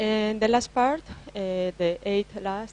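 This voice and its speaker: A woman with a non-native accent talks at a very slow pace, her pitch varying in an ordinary way. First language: Spanish. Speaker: IT consultant. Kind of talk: conference presentation. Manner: halting, many fillers.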